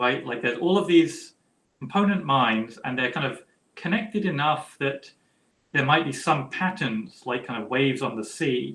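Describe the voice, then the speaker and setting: A man's fairly high, bright and sharp voice, lively in intonation, at a moderate pace. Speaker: philosopher. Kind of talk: academic Q&A.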